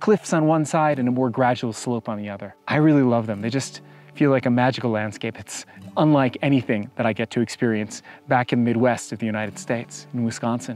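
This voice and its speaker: Faint music plays in the background as a man talks at a fairly quick pace. The sound is dry with no echo, and his pitch variation is ordinary. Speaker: hiking guide vlogger. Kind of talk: travel vlog commentary. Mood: calm, enthusiastic. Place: open country. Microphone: lapel.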